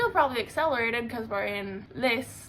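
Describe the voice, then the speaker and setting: An animated woman's voice carries audible room echo. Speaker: book reviewer and artist. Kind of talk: casual vlog review.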